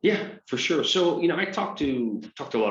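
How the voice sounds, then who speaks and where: A man speaks with a Scottish accent. His pace is fairly quick. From Scotland, Aberdeen. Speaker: business coach. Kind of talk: interview.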